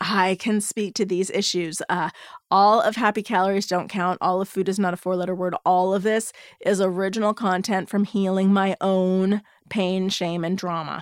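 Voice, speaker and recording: A woman speaks at a moderate pace in a medium pitch, her intonation flat and monotone, with a dry, close sound free of echo on a very clean recording against a silent background. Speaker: podcast host, body image coach. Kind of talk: casual solo podcast monologue. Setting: home recording.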